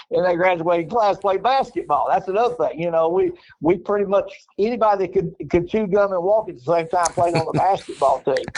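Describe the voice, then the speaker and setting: Speaking at a fairly quick pace with an Arkansas accent, a man uses a high pitch and ordinary pitch variation. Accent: Southern US (Arkansas). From Northeast Arkansas, US South. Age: 70s. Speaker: former basketball coach. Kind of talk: interview. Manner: repetitive, stammering restarts.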